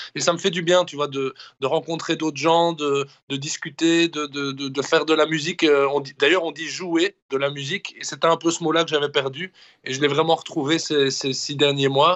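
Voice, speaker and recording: A man's fairly high voice, monotone and flat in intonation, at a moderate pace. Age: 40s. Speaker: singer-songwriter. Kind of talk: casual interview. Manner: hesitant, many repetitions.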